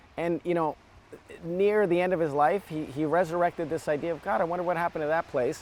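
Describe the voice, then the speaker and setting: In an American accent, a man speaks very fast at a high pitch with fairly even intonation. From US Midwest (Evanston, outside Chicago). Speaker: documentary filmmaker. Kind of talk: interview conversation. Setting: outdoors on a beach.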